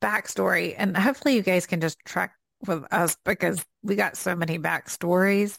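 With a Southern US accent, a woman speaks at medium pitch and very even loudness. The recording is very clean with a silent background, the sound dry and close with no echo. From US South. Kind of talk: casual conversational faith podcast. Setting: home office.

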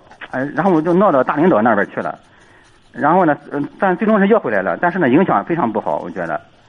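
Talking at a very fast pace, a man with a fairly high pitch and vocal fry moves through very wide pitch swings. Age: 30s. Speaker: caller, schoolteacher. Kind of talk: call-in advice. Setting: phone call.

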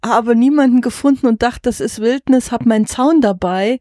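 A woman with an ordinary speaking voice talks at a moderate pace with ordinary pitch variation over a quiet background. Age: 50s. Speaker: farmer and wagon traveller. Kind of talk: interview. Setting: inside a covered horse wagon.

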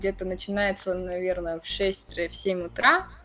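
Noticeable background noise surrounds a woman's voice. Her pitch is medium and her intonation fairly even. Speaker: university student and career guidance staff. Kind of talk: interview. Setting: remote call.

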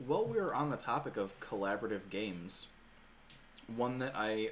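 The voice is a plain, everyday voice. Its intonation stays fairly even. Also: man. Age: 30s. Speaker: podcast host. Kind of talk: casual chat.

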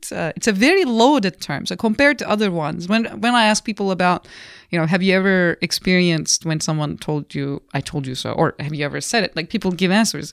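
A woman speaking at a very fast pace, medium-pitched with lively intonation, in a very clean recording with a silent background and a dry, close sound with no echo. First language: not English. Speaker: business school professor and comedian. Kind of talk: casual interview.

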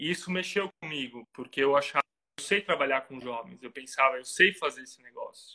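A man with a Santa Catarina accent, fairly high in pitch with ordinary pitch variation, a bright, sharp tone, a fairly quick pace and big swings in loudness, in a dry, close sound with no echo. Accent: southern Brazilian, Santa Catarina. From Brazil, Santa Catarina. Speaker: pastor and missionary. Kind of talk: casual interview.

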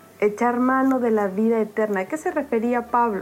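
Fairly high-pitched female voice at a fairly slow pace, with ordinary pitch variation and noticeable background noise. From Oaxaca, Mexico. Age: 20s. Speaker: devotional writer. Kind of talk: devotional reflection.

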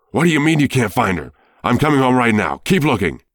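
A man shouting in a put-on character voice at a medium pitch, very fast, with very wide pitch swings, in a very clean recording with a silent background. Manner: yelling, frantic.

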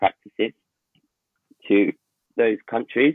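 A man with a London accent, fairly even intonation and a moderate pace. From North London. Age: 20s. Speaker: town planner. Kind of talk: casual chat.

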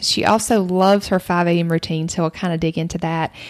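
A woman with a Southern US accent at a fairly quick pace. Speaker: podcast host. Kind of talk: casual interview chat.

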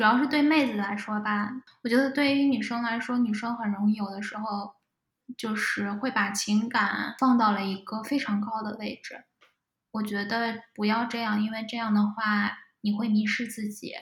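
A woman speaks in an ordinary speaking voice, pitched fairly high. Her intonation stays fairly even. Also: moderate pace. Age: 20s. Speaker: data scientist. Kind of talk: casual interview chat.

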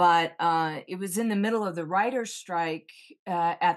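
A woman with a fairly low pitch speaks in a normal speaking voice with an American accent. Her pace is fairly slow and her intonation fairly even, over a quiet background. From US military family, raised on bases in US and Japan. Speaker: veteran and actress. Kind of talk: interview.

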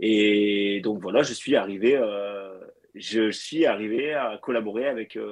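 In a plain, everyday voice, a man holds a medium pitch with ordinary pitch variation. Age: 30s. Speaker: fitness coach. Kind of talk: casual chat.

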